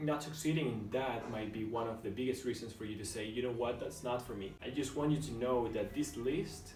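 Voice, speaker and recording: A man with a medium pitch speaks at a fairly quick pace with hardly any pauses, over noticeable background noise. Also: ordinary pitch variation. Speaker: beginner YouTuber. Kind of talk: vlog monologue. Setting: alone in a room at home. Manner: whispering.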